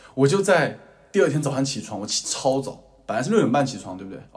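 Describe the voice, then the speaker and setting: A somewhat breathy man's voice at medium pitch and a very fast pace, with audible room echo. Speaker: podcast co-host, university student. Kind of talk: casual chat.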